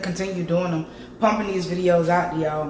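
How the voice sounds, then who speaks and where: Noticeable background noise and audible room echo around a woman's voice. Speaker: cooking vlogger. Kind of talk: casual vlog. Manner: casual, chatty.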